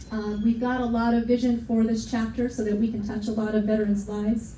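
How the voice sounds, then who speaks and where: With audible room echo, a woman talks at a fairly high pitch in a monotone, flat intonation. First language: not English. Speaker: veterans' organization chapter president. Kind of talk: speech to an audience. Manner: emotional, heartfelt.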